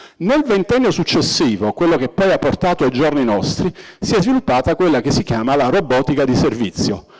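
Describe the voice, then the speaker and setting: Over noticeable background noise, a man with a fairly high pitch talks at a fairly quick pace, his pitch swinging very widely while his loudness stays very even. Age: 60s. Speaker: robotics professor. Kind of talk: public lecture.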